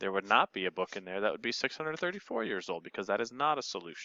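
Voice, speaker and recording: Vocal fry and very wide pitch swings mark this man's medium-pitched voice. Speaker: math teacher. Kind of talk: tutorial.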